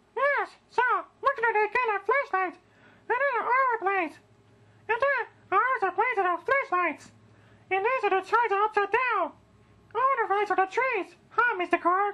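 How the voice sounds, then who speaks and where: In an extremely high-pitched cartoonish character voice, the speaker talks at a moderate pace with long, frequent pauses. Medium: puppet.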